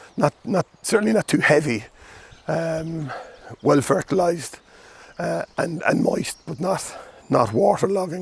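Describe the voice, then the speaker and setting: A man with an Irish accent, at a fairly slow pace, with very wide pitch swings. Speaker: gardening video host. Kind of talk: casual plant talk. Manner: halting, many fillers.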